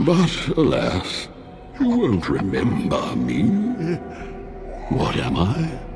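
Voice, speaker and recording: Using a put-on character voice, a man speaks at a very slow pace with long, frequent pauses while clear music plays in the background. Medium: video game. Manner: languid, condescending.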